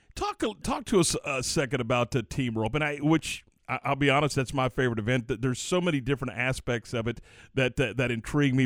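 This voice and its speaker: The intonation is lively and the pace moderate, in an ordinary speaking voice. The recording is very clean, with a silent background. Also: man. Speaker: radio sports host. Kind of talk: radio DJ patter, upbeat morning-show banter. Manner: easygoing, chatty, stumbling over repeated words.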